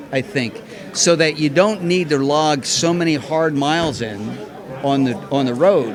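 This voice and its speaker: A man speaks at a fairly slow pace with a fairly high pitch and ordinary pitch variation, crowd noise in the background and audible room echo around him. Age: 60s. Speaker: marathon runner. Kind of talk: casual interview.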